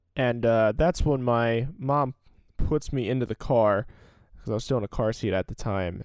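In a normal speaking voice, a man with an American accent talks at a moderate pace, his pitch in the middle range with ordinary variation. The recording is very clean, with a silent background and a dry, close sound with no echo. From US Northeast, Salem County, New Jersey. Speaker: podcast host. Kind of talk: solo storytelling podcast. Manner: casual, filler-heavy.

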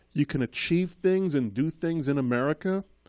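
The recording is very clean, with a silent background and a dry, close sound with no echo. A man speaks with lively intonation. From Trinidad, raised in Boston. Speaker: school committee member. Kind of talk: casual interview chat. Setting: studio.

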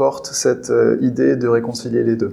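A man talks fairly slowly. Behind him, there is noticeable background noise. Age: 30s. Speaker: eco-union co-founder and HR manager. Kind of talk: interview.

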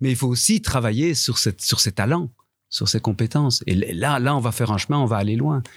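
A somewhat breathy man speaks at a medium pitch and a moderate pace with ordinary pitch variation. His loudness stays very even on a very clean recording with a silent background. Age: 50s. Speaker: veteran theatre actor and teacher. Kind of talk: panel discussion. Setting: live recording before an audience.

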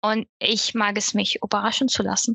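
This woman has an ordinary speaking voice with a fairly high pitch, and she talks at a moderate speed. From Syria. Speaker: e-commerce apprentice. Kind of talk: casual chat.

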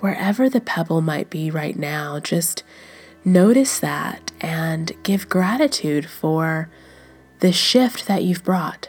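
Music plays in the background as a gentle, warm voice speaks at a very slow pace. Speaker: meditation guide. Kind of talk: guided meditation. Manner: slow, soft and soothing, with long pauses; gentle, warm and inviting.

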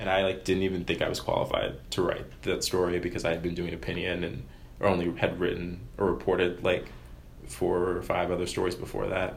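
Speaking fairly quickly in an American accent, a man uses a very deep, low pitch with vocal fry and fairly even intonation, and the room echo is audible. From US, Maryland. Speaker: student newspaper editor. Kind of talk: interview. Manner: casual, filler-heavy.

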